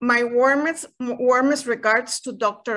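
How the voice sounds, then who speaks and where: Against a quiet background, a woman speaks very slowly at a high pitch with a bright, sharp tone and a Spanish accent. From Costa Rica. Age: 60s. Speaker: retired university director. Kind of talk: panel presentation. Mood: formal, appreciative. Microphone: video call.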